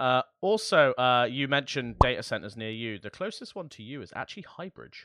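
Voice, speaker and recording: Delivered at a fairly quick pace with hardly any pauses, the voice has an English accent, a bright, sharp tone, lively intonation and big swings in loudness, in a very clean recording with a silent background. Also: man, medium pitch for a man. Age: 20s. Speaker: tech podcast co-host. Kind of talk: casual chat.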